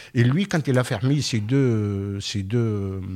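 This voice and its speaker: This is a man speaking. His intonation is lively. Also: very clean recording, silent background. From Tunisia. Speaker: author, former public works contractor. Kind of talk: radio interview. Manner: halting.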